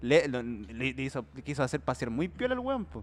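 A man with a Chilean accent speaks at a very fast pace and medium pitch. The background is quiet. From Chile, Santiago (Puente Alto). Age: 20s. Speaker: comedy podcast host. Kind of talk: casual chat.

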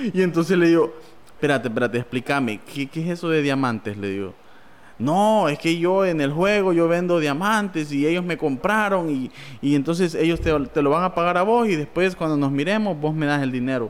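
A man's fairly high, normal speaking voice with lively intonation at a fairly quick pace. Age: 20s. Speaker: church member and podcast host. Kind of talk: casual chat.

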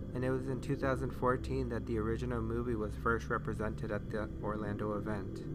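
A man with a very deep, low pitch talks at a fairly quick pace with hardly any pauses. Noticeable background noise can be heard. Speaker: podcast host. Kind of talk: scripted narration. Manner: upbeat, chatty.

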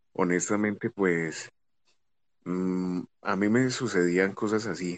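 With a very deep, low pitch and fairly even intonation, a man speaks in a dry, close sound with no echo. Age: 20s. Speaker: co-host, former soldier. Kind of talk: casual live chat.

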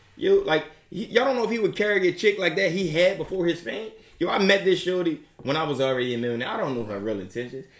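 A man talks at a very fast pace with a high pitch. His tone is animated. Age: 30s. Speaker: podcast host. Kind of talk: casual chat.

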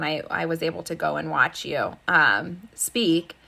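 This woman's voice is fairly low in pitch, bright and sharp in tone, with vocal fry. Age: 30s. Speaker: podcast host. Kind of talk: casual chat. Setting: video call.

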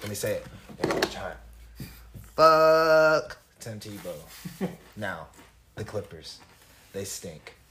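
A man with an American accent speaks at a very slow pace, with long, frequent pauses. His loudness swings widely. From US Midwest, Illinois. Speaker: podcast co-host. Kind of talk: casual chat.

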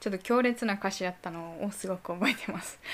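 A woman speaks in a Kansai accent. Her pitch varies in an ordinary way. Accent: Kansai Japanese dialect. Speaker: solo podcast host. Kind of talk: casual bilingual monologue. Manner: halting in English, self-correcting. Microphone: voice recorder app on laptop.

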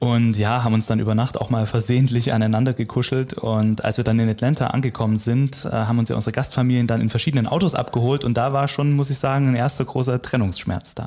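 A man with a medium pitch talks at a very fast pace, with hardly any pauses. His intonation is fairly even, his loudness very even, and there is noticeable background noise. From eastern Germany. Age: 30s. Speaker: radio worker. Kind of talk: interview.

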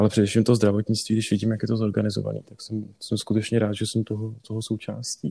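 A man talks very fast with hardly any pauses and big swings in loudness. His fairly low, somewhat breathy voice has a dark, mellow tone and monotone, flat intonation. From northern Bohemia, Czech Republic (Varnsdorf). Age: 30s. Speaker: dermatologist. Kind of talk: interview.

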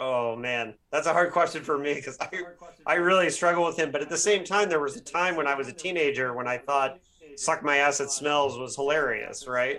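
A man with an American accent, fairly high pitch, ordinary pitch variation and a fairly quick pace, over noticeable background noise. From Bloomington, Indiana, US Midwest. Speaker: podcast host and novelist. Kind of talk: interview.

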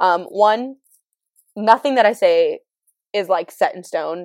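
A woman's medium-pitched voice with an American accent, in a dry, close recording with no echo. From California. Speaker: podcaster. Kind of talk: casual solo chat. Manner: fast talker; casual, candid, laughs often.

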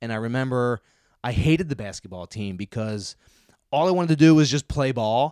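In a Philadelphia accent, a dark, mellow voice moves at a fairly quick pace with lively intonation and big swings in loudness, recorded dry and close with no echo. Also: man, medium pitch for a man. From Philadelphia suburbs, US. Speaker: disc golf pro. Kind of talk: casual chat.

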